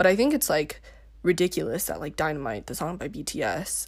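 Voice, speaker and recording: A woman talks at a fairly low pitch with vocal fry. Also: very clean recording, silent background. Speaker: podcast host. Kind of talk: casual solo chat podcast. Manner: rambling, tangents, self-deprecating humor.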